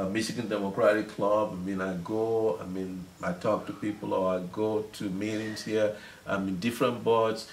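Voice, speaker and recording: With a Nigerian accent, a man speaks in a flat monotone while the room echo is audible. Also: fairly low pitch for a man, moderate pace. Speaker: city councilman. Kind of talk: interview. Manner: halting, many repetitions.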